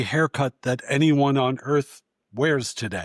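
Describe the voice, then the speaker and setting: In an ordinary speaking voice, a man with an American accent talks at a moderate pace with fairly high pitch and ordinary pitch variation. The recording is very clean with a silent background and a dry, close sound with no echo. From New York. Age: 60s. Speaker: author and former film critic. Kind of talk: podcast interview.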